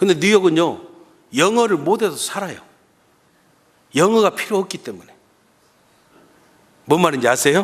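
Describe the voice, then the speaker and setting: A man talks at a moderate pace with vocal fry. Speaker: guest pastor. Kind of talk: sermon. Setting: church.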